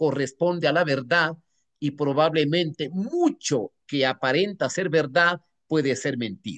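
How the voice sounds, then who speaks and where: The man's delivery is fairly slow, and his pitch varies in an ordinary way. No echo colors the recording, which is dry and close. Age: 70s. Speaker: newspaper executive and former politician. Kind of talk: Q&A at an online academic conference. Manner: hesitant, with repeated words and fillers.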